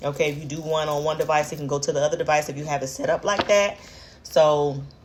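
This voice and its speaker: Against noticeable background noise, a woman speaks at a very fast pace with a very deep, low pitch and fairly even intonation. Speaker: tarot reader. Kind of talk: tarot reading monologue. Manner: hesitant, many fillers.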